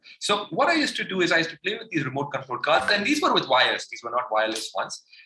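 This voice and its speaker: Over noticeable background noise, a man talks at a very fast pace, his loudness swinging widely. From India. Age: 30s. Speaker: motivational speaker. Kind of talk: motivational talk. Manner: animated.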